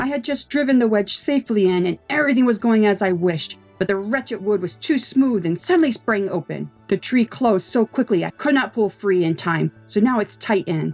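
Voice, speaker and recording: A put-on character voice, female-sounding and fairly high in pitch, moves at a fairly quick pace. Faint music plays in the background. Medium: read story. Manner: snarling, insulting, cursing.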